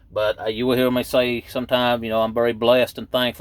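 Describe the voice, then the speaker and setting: Speaking very fast, a man with a Southern accent talks at a medium pitch. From East Tennessee. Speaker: truck driver and video blogger. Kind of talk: casual vlog monologue. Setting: in his truck at work waiting to load. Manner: rambling, hesitant with many fillers.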